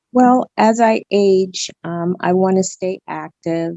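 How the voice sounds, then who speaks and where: At a fairly slow pace, a woman speaks in a plain, everyday voice with ordinary pitch variation. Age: 60s. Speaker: patient. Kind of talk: testimony.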